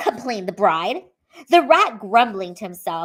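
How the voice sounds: A natural reading voice against a quiet background.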